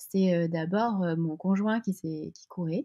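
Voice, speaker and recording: Her pitch is medium for a woman. She keeps her intonation fairly even. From French coast. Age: 40s. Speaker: sports brand co-founder. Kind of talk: interview. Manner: halting, many hesitations.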